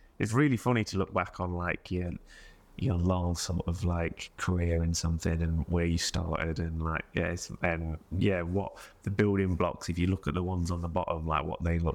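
A man with an East Midlands accent, a very deep, low pitch and fairly even intonation. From Mansfield, English East Midlands. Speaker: musician. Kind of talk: casual interview.

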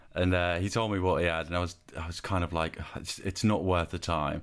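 A man's very deep, low voice at a fairly quick pace, fairly even in intonation, on a very clean recording with a silent background. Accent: West Country. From southwest England. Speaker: podcast host and designer. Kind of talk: casual interview chat.

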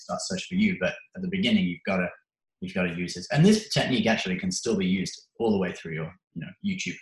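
Very fast speech comes from a man. He has an English accent. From England. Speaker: YouTube creator. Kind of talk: interview. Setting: call.

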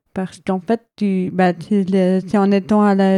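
Her voice sits at a medium pitch, dark and mellow in tone, with monotone, flat intonation. She speaks at a very slow pace over a very clean recording with a silent background. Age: 20s. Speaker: hard-of-hearing and visually impaired guest. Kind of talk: testimony.

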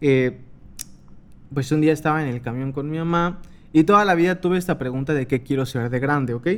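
Taking long, frequent pauses, a man talks with ordinary pitch variation. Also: fairly high pitch for a man, fairly quick pace. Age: 20s. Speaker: podcast host. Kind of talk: casual monologue. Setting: home desk recording. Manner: animated, laughing.

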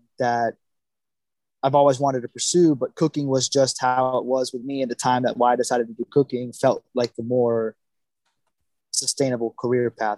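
In an American accent, a man with an ordinary speaking voice talks at a moderate pace and medium pitch, in a dry, close sound with no echo. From Florida (Naples). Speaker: chef. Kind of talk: casual chat.

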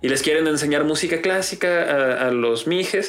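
With music in the background and audible room echo, a man with a Mexican accent speaks at a moderate pace in a fairly high pitch with ordinary pitch variation. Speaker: podcast host. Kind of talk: casual chat. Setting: home studio.

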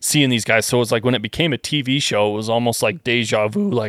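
Fairly quick, lively speech from a man at medium pitch with a Western Canadian accent, in a dry, close sound with no echo. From Western Canada. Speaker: gun parts engineer. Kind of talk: casual chat.

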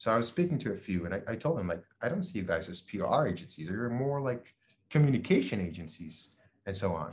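Somewhat breathy and at a medium pitch, a man speaks with very wide pitch swings. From Israel. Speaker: startup founder and CEO. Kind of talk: interview.

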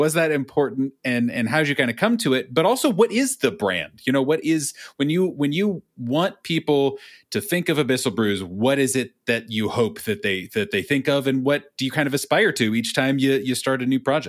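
An ordinary speaking voice from a man with a fairly high pitch, lively intonation and very even loudness, at a moderate pace with hardly any pauses, in a very clean recording with a silent background. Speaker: podcast host. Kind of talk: casual interview chat.

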